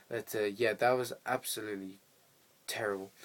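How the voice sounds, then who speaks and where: A man talks at a fairly quick pace. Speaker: film reviewer. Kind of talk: casual video review. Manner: fast; rambling, hesitant with fillers.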